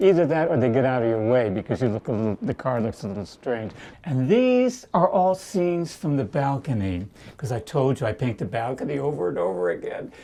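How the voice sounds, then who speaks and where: A man speaks at a fairly quick pace in a dark, mellow tone. His pitch is medium, with very wide swings. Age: 80s+. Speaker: elderly painter. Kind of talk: documentary interview. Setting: at home in his apartment. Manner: halting.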